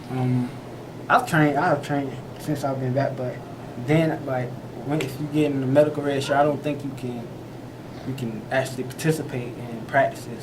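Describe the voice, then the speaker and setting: Soft-spoken, a man talks at a moderate pace in a medium pitch with monotone, flat intonation. Noticeable background noise and audible room echo fill the recording. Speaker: college football player. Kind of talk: press interview. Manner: halting.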